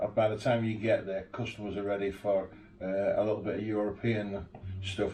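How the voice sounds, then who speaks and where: In a Yorkshire accent, a man speaks at a fairly quick pace with a fairly low, somewhat breathy voice and a dark, mellow tone. His intonation is monotone and flat, with audible room echo. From Yorkshire, northern England. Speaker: 4x4 tour operator and interviewer. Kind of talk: casual interview chat. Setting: home garage.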